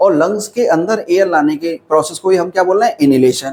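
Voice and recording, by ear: The man's voice sits high, with a slightly mellow tone. He talks at a fairly quick pace with ordinary pitch variation.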